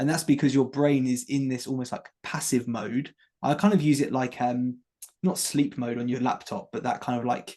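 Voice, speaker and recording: In an English accent, a dark, mellow tone comes through with ordinary pitch variation. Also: man, medium pitch for a man. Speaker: former teacher turned health coach. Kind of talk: interview chat. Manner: fast.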